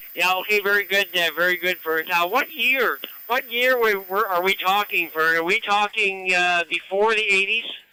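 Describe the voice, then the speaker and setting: With a raised, projected voice, a man with a high pitch speaks at a moderate pace with hardly any pauses, very even loudness and ordinary pitch variation, in a dry, close sound with no echo and noticeable background noise. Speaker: radio net controller. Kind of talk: radio net conversation. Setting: amateur radio transmission.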